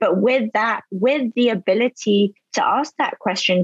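A woman speaks at a very slow pace with ordinary pitch variation. The recording sounds dry and close, without echo. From London and Spain. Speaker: beverage company founder. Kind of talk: casual chat.

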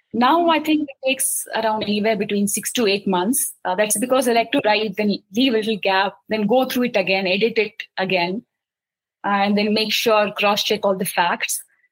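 Somewhat breathy, a woman speaks at a moderate pace in a fairly high pitch with ordinary pitch variation. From India, Mumbai. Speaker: children's book author. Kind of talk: interview.

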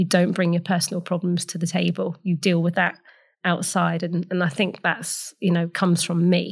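A woman speaks at a moderate pace with a fairly low pitch, vocal fry and monotone, flat intonation. The recording is very clean, with a silent background. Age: 40s. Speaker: entrepreneur. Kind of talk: interview.

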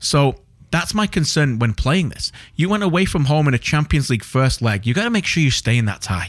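Pitching fairly high, a man swings his pitch very widely while keeping his loudness very even. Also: fairly quick pace. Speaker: podcast host and football broadcaster. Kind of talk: casual football chat podcast. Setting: studio, recorded late at night. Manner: conversational, jokey, interrupts.

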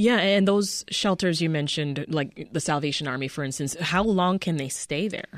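A woman with an American accent speaks in a normal speaking voice at a moderate pace and fairly low pitch, with ordinary pitch variation, on a very clean recording with a silent background. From outside the US. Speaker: radio news host. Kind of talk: radio interview. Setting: radio studio.

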